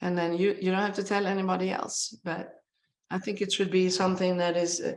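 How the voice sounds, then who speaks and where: A woman speaks at a medium pitch and a fairly quick pace. Her intonation stays monotone and flat. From Sweden. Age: 60s. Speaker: brain researcher, professor. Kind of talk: webinar interview. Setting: online webinar.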